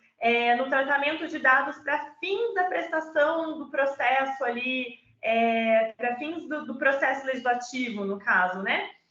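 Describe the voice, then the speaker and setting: A woman uses a raised, projected voice with a bright, sharp tone. Her pitch is high, with ordinary variation. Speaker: data protection law speaker. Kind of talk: online presentation.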